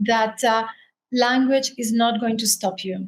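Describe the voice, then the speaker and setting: A woman with a Spanish accent speaks at a fairly high pitch with fairly even intonation. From Spain, Canary Islands; also raised in France. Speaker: author and writer. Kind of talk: interview.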